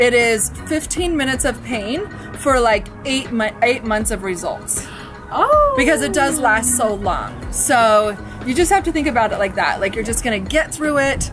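Clear music plays behind a woman with a high-pitched voice. She talks at a moderate pace. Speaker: vlogger. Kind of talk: casual vlog chat. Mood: excited, joking, laughing. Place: street. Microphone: phone near.

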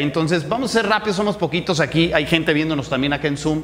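The man speaks very quickly. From Mexico, Morelia (Michoacán). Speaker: entrepreneurship speaker. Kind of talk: interactive workshop talk. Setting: live audience in person. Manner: casual, conversational. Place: hall. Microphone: handheld.

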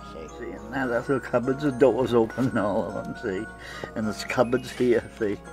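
Music plays in the background as the speaker talks at a moderate pace. The intonation is lively, and the loudness swings widely. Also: man, medium pitch for a man. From Maine. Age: 90s. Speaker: master craftsman. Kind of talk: casual chat.

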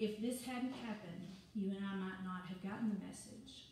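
A woman at a moderate pace with ordinary pitch variation, light background noise and strong room echo. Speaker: preacher. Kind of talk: sermon. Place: church. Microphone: camera far.

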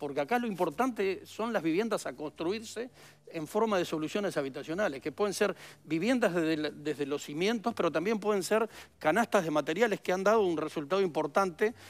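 A man with a high voice, talking at a fairly quick clip with lively intonation. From Uruguay. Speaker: former government official and politician. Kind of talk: interview. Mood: critical, earnest. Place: studio.

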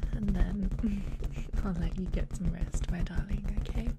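Loud background noise surrounds a woman. She speaks at a very slow pace. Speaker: ASMR creator. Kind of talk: ASMR personal attention. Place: home room. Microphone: studio mic.

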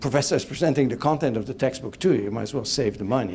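A man rattles along at a very fast pace, with light background noise behind him. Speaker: guest lecturer. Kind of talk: lecture. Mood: engaging, humorous. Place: hall. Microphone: handheld.

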